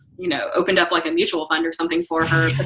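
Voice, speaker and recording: A woman with an American accent, with noticeable background noise. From North Carolina. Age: 30s. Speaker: real estate broker and investor. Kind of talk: interview.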